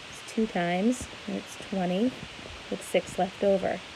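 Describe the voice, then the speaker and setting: Noticeable background noise sits behind a woman speaking at a medium pitch. Her pace is fairly slow and her intonation fairly even. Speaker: schoolteacher. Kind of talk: tutorial.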